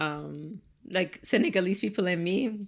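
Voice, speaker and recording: Ordinary pitch variation marks this woman's speech, delivered with a slight Ethiopian accent. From Ethiopia, raised in Cincinnati, Ohio from childhood. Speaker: tech startup founder. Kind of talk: casual podcast interview. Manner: casual, many fillers.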